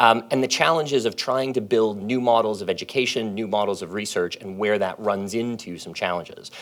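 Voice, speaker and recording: A man with a normal speaking voice talks in a Canadian accent at a fairly quick pace, his pitch fairly low with ordinary variation and hardly any pauses. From Canada. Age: 40s. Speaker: professor. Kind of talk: panel talk. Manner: casual, with fillers.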